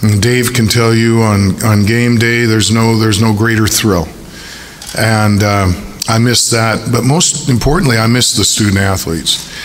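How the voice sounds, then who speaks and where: There is noticeable background noise and audible room echo as a man speaks at a very even loudness. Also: medium pitch for a man, fairly even intonation, moderate pace. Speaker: university athletic director. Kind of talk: press conference. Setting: press conference at a stadium. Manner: hesitant with many fillers.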